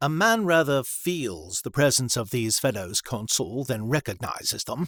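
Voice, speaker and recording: The speaker is a man with an ordinary speaking voice. He talks at medium pitch and a moderate pace. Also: very clean recording, silent background. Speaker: voice actor. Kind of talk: audiobook narration.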